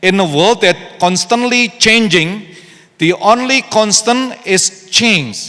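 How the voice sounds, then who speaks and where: A man uses a raised, projected voice at a high pitch, with ordinary pitch variation and very even loudness. He talks at a very slow pace over noticeable background noise. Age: 60s. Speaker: pastor. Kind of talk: sermon. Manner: code-switching Indonesian and English.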